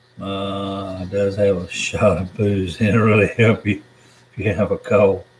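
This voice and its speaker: A man with an American accent speaks fairly slowly in a fairly low, monotone, flat voice over noticeable background noise. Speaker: YouTuber reading live chat. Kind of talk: live stream chat. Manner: casual, meandering.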